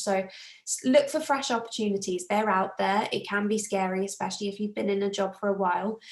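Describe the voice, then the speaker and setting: A woman speaks with a British accent at medium pitch. Her pace is moderate. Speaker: self-development coach. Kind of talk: live group coaching talk.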